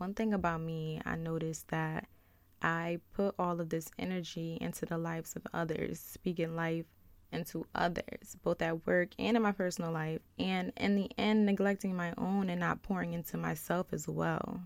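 The speaker has a normal speaking voice with fairly even intonation. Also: woman, fairly low pitch for a woman, moderate pace, very clean recording, silent background. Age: 20s. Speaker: podcast host. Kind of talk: personal monologue. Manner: casual, conversational.

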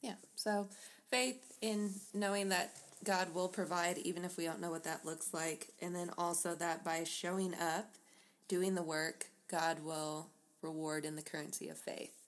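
A woman speaks in a plain, everyday voice, fairly low in pitch, at a fairly slow pace with ordinary pitch variation. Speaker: podcast co-host. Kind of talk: casual chat.

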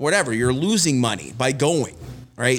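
Here a man speaks with a Canadian Prairies accent. His pace is fairly quick and his pitch varies in an ordinary way. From Winnipeg, Manitoba, Canada. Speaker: golf club director and golf pro. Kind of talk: casual chat.

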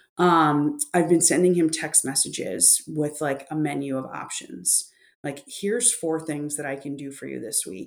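Pitched very deep and low, a woman with vocal fry speaks at a fairly slow pace with hardly any pauses, lively intonation and big swings in loudness. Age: 40s. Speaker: author and grief expert. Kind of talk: interview conversation.

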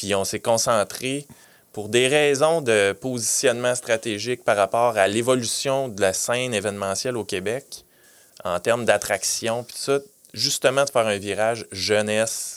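With an unremarkable speaking voice, a man talks at a fairly slow pace and medium pitch, keeping fairly even intonation while his loudness swings widely. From Quebec (Granby). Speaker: city events manager. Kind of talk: interview. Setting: studio.

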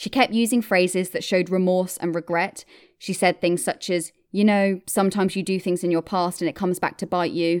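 With a British accent, the speaker keeps a fairly quick pace and fairly even intonation on a very clean recording with a silent background. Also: woman, medium pitch for a woman. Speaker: true crime podcast host. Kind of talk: true-crime narration, scripted-style storytelling. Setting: podcast recording. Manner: steady, measured, clear.

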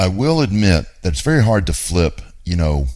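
A man talks at a moderate pace, his pitch varying in an ordinary way. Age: 50s. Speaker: radio show host, real estate investor. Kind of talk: talk radio monologue.

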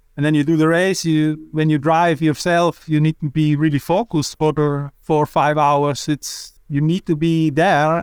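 A voice in a Swiss German accent goes at a moderate pace with hardly any pauses, monotone intonation and very even loudness, sounding dry and close with no echo on a very clean recording with a silent background. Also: man, fairly high pitch for a man. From Switzerland. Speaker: cycling sports director. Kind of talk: casual interview. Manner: halting.

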